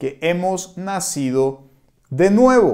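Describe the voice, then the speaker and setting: Very slowly, a man speaks in a high, dark, mellow voice whose pitch swings very widely. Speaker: pastor. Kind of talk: sermon. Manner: conversational, with frequent fillers.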